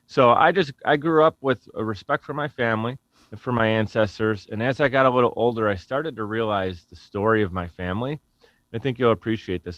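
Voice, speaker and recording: Speaking at a fairly quick pace in a Buffalo accent, a man uses a medium pitch with ordinary pitch variation and big swings in loudness. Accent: Western New York (Buffalo) American. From US, Buffalo, New York. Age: 30s. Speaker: podcast company founder. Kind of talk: interview conversation. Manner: casual, halting with self-corrections.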